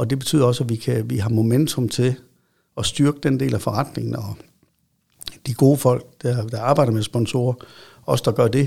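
Long, frequent pauses break up a somewhat breathy voice with a dark, mellow tone, recorded very cleanly against a silent background. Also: man, medium pitch for a man, moderate pace. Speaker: football club chief executive. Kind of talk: interview. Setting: studio. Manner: halting with repetitions.

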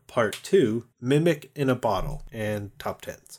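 An ordinary speaking voice from a man with an American accent, medium in pitch with ordinary pitch variation. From California. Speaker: podcast host, dungeon master. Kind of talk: casual chat.

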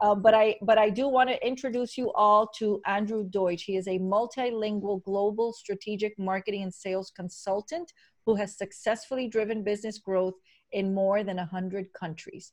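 Here a woman speaks with a medium-pitched voice at a moderate pace. Her intonation stays fairly even. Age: 50s. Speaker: podcast host. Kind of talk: casual interview.

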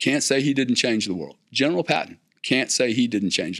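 In a South Louisiana accent, a man speaks with medium pitch and vocal fry on a very clean recording with a silent background. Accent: South Louisiana Southern US. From US South, South Louisiana. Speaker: business executive and investor. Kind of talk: interview conversation. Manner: repetitive stammering starts.

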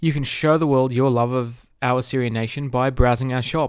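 With an Australian accent, a man talks at a moderate pace with fairly even intonation. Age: 30s. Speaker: podcast host. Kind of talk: casual interview; scripted intro and sponsor read.

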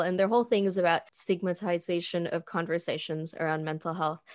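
Over a quiet background, a woman with an unremarkable speaking voice and a medium pitch talks at a fairly quick pace. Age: 20s. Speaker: marketing coordinator and freelance designer. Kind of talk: interview conversation.

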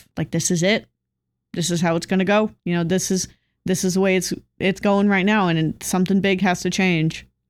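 A woman's medium-pitched voice with a West Coast US accent, monotone and flat, at a moderate pace and very even loudness, in a very clean recording with a silent background. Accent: General American, West Coast. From Southern California. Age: 20s. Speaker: podcast co-host. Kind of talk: casual chat.

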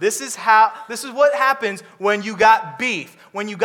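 Someone does plain reading aloud. Their pitch rises and falls in an ordinary way.

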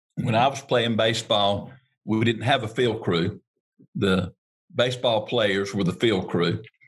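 The speaker talks with a North Carolina accent in a somewhat breathy voice. The pace is fairly slow and the loudness very even. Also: man, fairly low pitch for a man, ordinary pitch variation. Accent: US Southern (North Carolina). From North Carolina, Harnett County. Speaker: turf equipment dealer. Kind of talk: interview.

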